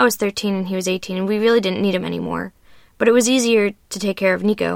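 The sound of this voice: Here the reading voice is unforced.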